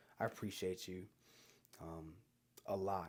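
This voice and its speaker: Quiet and monotone, a man talks with flat intonation and a very deep, low pitch. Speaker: barber and vlogger. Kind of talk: casual monologue to camera. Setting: at home late at night. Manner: low-energy.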